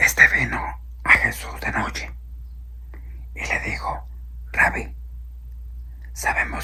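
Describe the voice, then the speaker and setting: Someone soft-spoken talks over noticeable background noise. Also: man. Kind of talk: religious sermon, Bible teaching.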